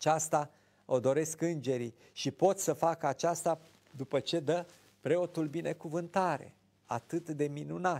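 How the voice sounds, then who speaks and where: A man speaks at a fairly slow pace, with intonation that stays fairly even. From Romania. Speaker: Orthodox priest, TV show host. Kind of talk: religious talk show, preaching. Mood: calm, earnest. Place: studio. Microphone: lapel.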